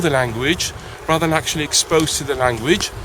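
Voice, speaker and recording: Speaking in a somewhat high register, a man is heard with clear noise in the background. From Algeria. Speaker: English teacher. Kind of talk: interview. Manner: halting.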